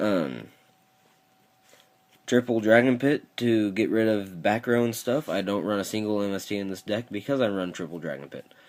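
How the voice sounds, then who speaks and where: Speaking at a moderate pace, a man has a fairly low pitch with ordinary pitch variation. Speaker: card game YouTuber. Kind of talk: deck profile tutorial.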